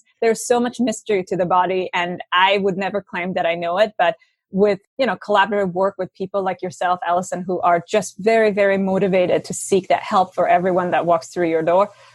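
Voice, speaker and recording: With hardly any pauses, a woman of medium pitch speaks fairly quickly in a flat monotone, the sound dry and close with no echo. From Iran. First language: Farsi. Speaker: nutritionist. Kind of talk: interview.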